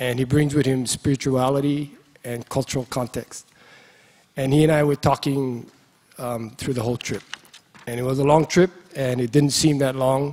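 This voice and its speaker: A Hawaiian-accented man at a moderate pace, monotone and flat, with long, frequent pauses. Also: medium pitch for a man. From Hawaii (Molokai). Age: 60s. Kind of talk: speech at a conference. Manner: halting, with fillers.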